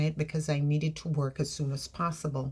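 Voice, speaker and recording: Somewhat breathy, a woman speaks with an American accent. Her pace is moderate. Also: very clean recording, silent background. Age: 60s. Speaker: vlogger. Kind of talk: personal vlog. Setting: bedroom.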